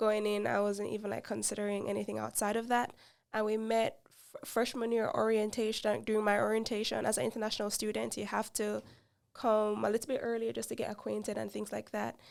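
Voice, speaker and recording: Speaking in a Jamaican accent at a fairly quick pace, a woman is heard on a very clean recording with a silent background. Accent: Jamaican, noticeable. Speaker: podcast co-host. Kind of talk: casual chat.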